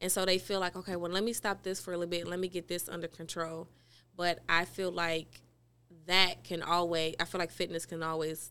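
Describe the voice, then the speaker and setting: A woman's fairly low, monotone voice in an American accent, flat in intonation and at a fairly quick pace, on a very clean recording with a silent background. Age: 30s. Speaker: fitness trainer and gym owner. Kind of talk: podcast interview, casual chat. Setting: studio.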